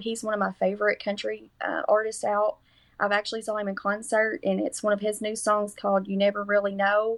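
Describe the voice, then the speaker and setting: With a strong Kentucky accent, a woman speaks at a moderate pace in a medium pitch with monotone, flat intonation. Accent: strong rural Kentucky. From US South, Kentucky. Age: 40s. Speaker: nursing student. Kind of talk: podcast interview.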